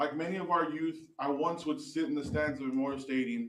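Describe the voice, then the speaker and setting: Audible room echo surrounds a man speaking at a fairly quick pace with fairly even intonation. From Texas, Alice. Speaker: youth football coach and board member. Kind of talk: prepared statement read aloud at public meeting. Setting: county commissioners court meeting. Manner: loud.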